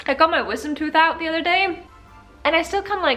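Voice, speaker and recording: A woman's upbeat, fairly quick speech over background music. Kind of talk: casual talk to camera. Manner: chatty, upbeat.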